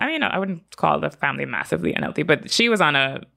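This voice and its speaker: A bright, sharp tone with vocal fry runs at a very fast pace. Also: woman. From Bahamas, Freeport. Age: 30s. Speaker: fitness coach and pro bodybuilder. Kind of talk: casual interview.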